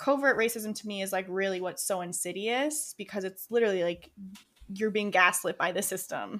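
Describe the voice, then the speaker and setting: A woman with an American accent and an ordinary speaking voice, medium in pitch, with ordinary pitch variation and a fairly quick pace. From Rochester, New York, US. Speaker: podcast co-host. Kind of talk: casual chat.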